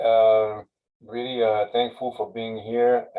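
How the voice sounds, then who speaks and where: A man speaks with a French accent. His pitch is medium and his pace fairly slow. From France. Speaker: university sustainability manager. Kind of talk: webinar presentation. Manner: halting, many fillers.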